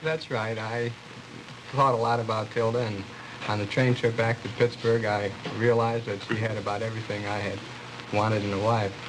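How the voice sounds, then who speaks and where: With audible room echo and noticeable background noise, a man speaks at a medium pitch and fairly quick pace in a monotone, flat delivery with long, frequent pauses. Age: 20s. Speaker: bridegroom, graduate student and army veteran. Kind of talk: TV interview. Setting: TV studio with audience.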